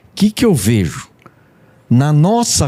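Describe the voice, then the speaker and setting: In a dry, close sound with no echo, a man with a dark, mellow tone speaks with very wide pitch swings. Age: 70s. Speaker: pastor and gospel musician. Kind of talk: casual discussion.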